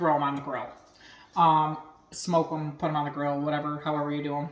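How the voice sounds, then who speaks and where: A woman speaks at a moderate pace in a very deep, low voice. Audible room echo surrounds her. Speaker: home cooking and cocktail video host. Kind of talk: casual cooking tutorial. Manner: loud.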